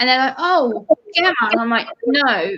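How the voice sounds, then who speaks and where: With a British accent, a woman talks at a moderate pace. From UK. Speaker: live stream co-host. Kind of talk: casual chat.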